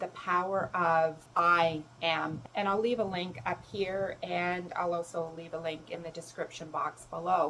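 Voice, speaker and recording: A woman speaks with a fairly low pitch. Her pace is fairly slow. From Canada. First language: German. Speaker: self-love coach and spiritual mentor. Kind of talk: personal advice talk to camera.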